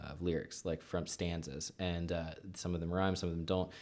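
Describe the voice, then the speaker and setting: A man speaks with an American accent at a very deep, low pitch. His intonation is flat and monotone. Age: 30s. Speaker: comedian. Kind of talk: casual chat. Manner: halting.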